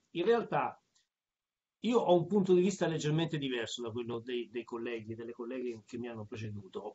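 Using lively intonation, a man at a medium pitch talks at a fairly quick pace but takes long, frequent pauses. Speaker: economics professor. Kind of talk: panel discussion. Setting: video call.

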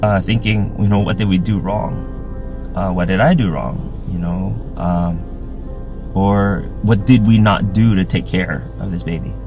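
Over clear music in the background, a man with a very deep, low pitch talks at a very slow pace with lively intonation and hardly any pauses, the sound dry with no echo. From Hawaii. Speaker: YouTube reactor. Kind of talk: personal testimony. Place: car. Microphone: phone near.

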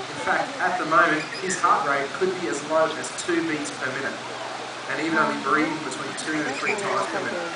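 Loud background noise runs under a man talking at a fairly quick pace with an Australian accent. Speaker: wildlife sanctuary keeper. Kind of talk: educational wildlife talk to visitors. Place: open country.

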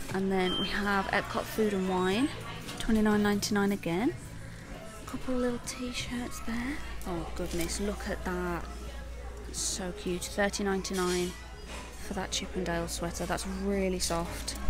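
Clear music plays behind a moderate-paced voice with long, frequent pauses, recorded with a dry sound and no echo. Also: woman. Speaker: shopping vlogger. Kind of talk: casual vlog chat. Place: shop. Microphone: phone near.

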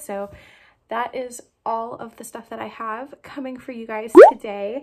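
A woman speaking with fairly even intonation. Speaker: youtuber. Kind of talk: casual vlog chat. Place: home room. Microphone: phone near.

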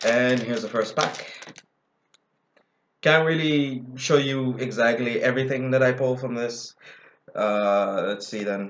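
Over light background noise, a man talks at a fairly slow pace with fairly even intonation and long, frequent pauses. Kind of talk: casual vlog chat. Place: home room. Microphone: webcam.

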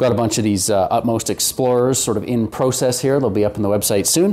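A man is talking. He keeps a moderate pace. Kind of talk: casual explanatory vlog talk. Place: garage.

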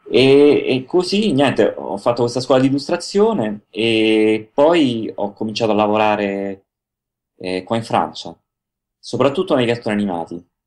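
A plain, everyday voice with lively intonation. It moves at a fairly slow pace. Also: man. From Italy, Rome. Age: 40s. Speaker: animator and illustrator. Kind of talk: interview.

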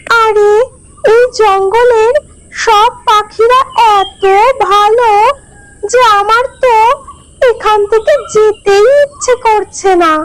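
A woman's cartoonish character voice, extremely high in pitch, at a very slow pace.

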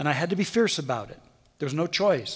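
Quiet surroundings behind a male speaker. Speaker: minister giving a sermon. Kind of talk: sermon delivered to a congregation, speaking extemporaneously. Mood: earnest, storytelling. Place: church. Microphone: headset.

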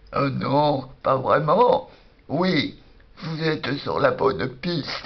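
A woman's cartoonish character voice, very deep and low in pitch, at a very slow pace. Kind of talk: improvised comic sketch. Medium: puppet. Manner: jovial, laughing a lot.

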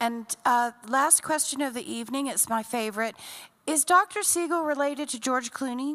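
A woman talks at a moderate pace with a high pitch and ordinary pitch variation. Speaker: event moderator. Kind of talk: Q&A moderation. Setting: online webinar.

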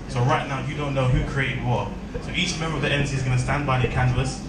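A man is talking. Loud background noise fills the recording. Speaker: event host. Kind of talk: speech to an audience. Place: hall.

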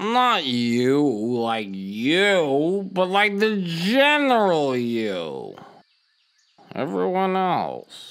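A man puts on a character voice, pitched high and delivered at a very slow pace. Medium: audio drama. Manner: cheerful, chatty, oblivious.

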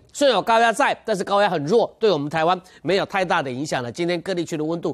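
Talking at a very fast pace over a quiet background, a man uses lively intonation and a high pitch. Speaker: presenter. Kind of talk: TV weather forecast. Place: studio.

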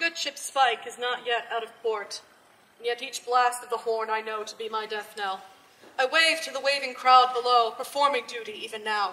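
The speech moves at a moderate pace. Its intonation stays fairly even. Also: woman. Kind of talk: dramatic reading of own piece. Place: hall. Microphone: camera far.

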